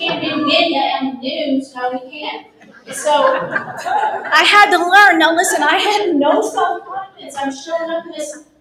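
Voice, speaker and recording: Amid noticeable background noise, a woman with an American accent and an extremely high pitch projects a raised voice in an animated tone with lively intonation. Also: fairly slow pace. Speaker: former TV news broadcaster, speaker. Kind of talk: motivational talk.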